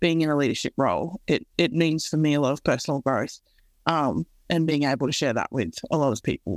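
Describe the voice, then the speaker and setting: A woman with an Australian accent speaks with a very deep, low pitch, vocal fry and ordinary pitch variation at a fairly quick pace. The recording is very clean with a silent background, and the sound is dry and close with no echo. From Australia, Central West New South Wales. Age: 20s. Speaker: co-CEO of a mentoring nonprofit. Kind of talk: podcast interview.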